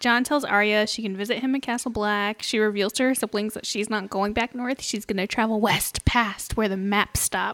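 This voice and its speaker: A woman's fairly high, fairly even voice with hardly any pauses, a normal speaking voice in a dry, close sound with no echo. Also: moderate pace. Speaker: podcast co-host. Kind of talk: casual chat.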